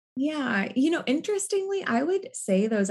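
A woman speaks with an American accent in a somewhat breathy voice. Her pitch swings very widely at a moderate pace. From US Northwest. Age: 30s. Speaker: therapist and nonprofit leader. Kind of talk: interview.

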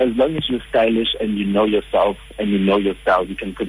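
A man's voice over music in the background. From South Africa, Johannesburg. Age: 20s. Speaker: social media strategist. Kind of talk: radio interview. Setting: phone call.

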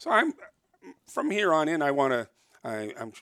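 Bright and sharp, a man's voice with a Canadian accent moves at a moderate pace. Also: dry, close sound with no echo. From Toronto, Canada. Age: 60s. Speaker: fur trapper. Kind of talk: casual interview. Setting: in person, downtown Toronto.

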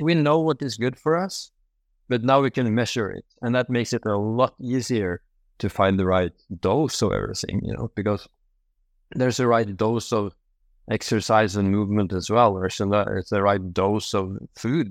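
With a Norwegian accent, a man speaks at a moderate pace in a fairly low pitch with ordinary pitch variation. The sound is dry and close, with no echo. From Norway. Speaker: medical doctor. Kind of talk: interview. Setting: video call. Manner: halting.

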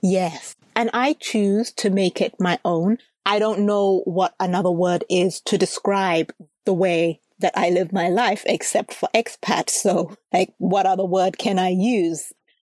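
In a normal speaking voice, the speaker goes at a fairly slow pace with fairly even intonation and very even loudness, the sound dry and close with no echo. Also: woman, medium pitch for a woman. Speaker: podcast host. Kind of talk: casual interview chat.

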